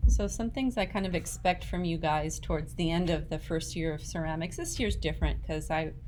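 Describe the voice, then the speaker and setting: There is audible room echo around this woman's voice. She talks at a fairly quick pace with hardly any pauses. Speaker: ceramics teacher. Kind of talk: tutorial.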